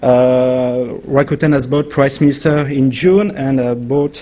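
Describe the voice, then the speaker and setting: A man talks at a fairly slow pace. His pitch sits fairly high. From France. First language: French. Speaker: legal affairs executive. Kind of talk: conference panel presentation. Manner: hesitant.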